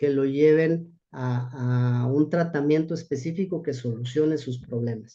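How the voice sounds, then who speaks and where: A man talks with fairly even intonation. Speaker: rehabilitation physician. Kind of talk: lecture. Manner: halting.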